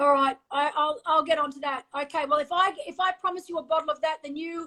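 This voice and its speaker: Raised and projected, a woman's high-pitched voice with an Australian accent has a bright, sharp tone and a fairly quick pace. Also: fairly even intonation. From Australia (Sydney). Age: 50s. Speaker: former professional triathlete. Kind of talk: casual chat.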